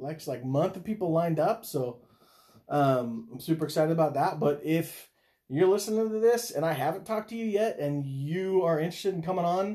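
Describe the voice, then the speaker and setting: At a moderate pace, a man speaks in a dark, mellow tone, fairly high in pitch with ordinary variation. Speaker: podcast host and worship leader. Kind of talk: casual chat. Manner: loud, energetic.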